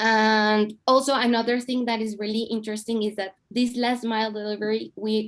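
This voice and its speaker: A woman's fairly high-pitched voice in a Spanish accent. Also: very clean recording, silent background. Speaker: city mobility official. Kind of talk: panel discussion. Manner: halting.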